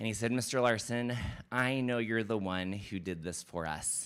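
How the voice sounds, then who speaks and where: Delivered at a moderate pace with ordinary pitch variation, the voice comes through on a very clean recording with a silent background. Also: man. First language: not English. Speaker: elementary school principal. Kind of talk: public presentation at board meeting. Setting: school board meeting.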